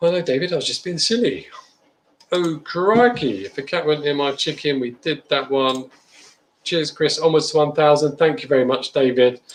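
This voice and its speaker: This man speaks at a moderate pace, his fairly high voice full of lively intonation. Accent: English. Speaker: beer reviewer. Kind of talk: livestream chat.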